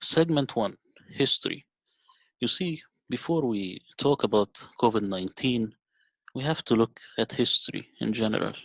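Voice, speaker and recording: With a non-native accent, a man speaks at medium pitch with ordinary pitch variation, leaving long, frequent pauses, over a quiet background in a dry, close sound with no echo. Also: moderate pace. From Middle East. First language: not English. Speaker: video narrator. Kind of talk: documentary narration.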